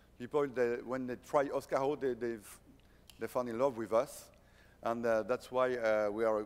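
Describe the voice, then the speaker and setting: A man speaks in a French accent at a moderate pace. His intonation is monotone and flat. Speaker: company founder and CEO. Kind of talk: conference presentation. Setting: stage at a conference. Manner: halting, many fillers and restarts.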